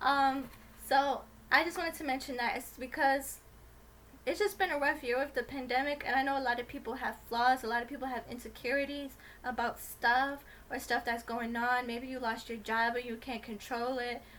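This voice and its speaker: A soft-spoken woman talks at a moderate pace. Her intonation stays fairly even. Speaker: YouTuber. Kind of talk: casual vlog monologue. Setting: home video recording with ring light.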